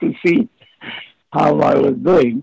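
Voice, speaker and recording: A man speaks at a very slow pace with a Romanian accent, his voice dry and close with no echo. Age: 70s. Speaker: former spy and author. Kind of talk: interview. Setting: video call. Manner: halting.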